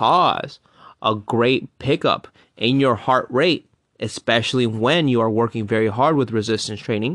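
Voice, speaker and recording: Speech comes at a fairly slow pace with ordinary pitch variation. It sounds dry and close with no echo, against a quiet background. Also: man. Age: 30s. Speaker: fitness podcast host. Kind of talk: solo podcast monologue.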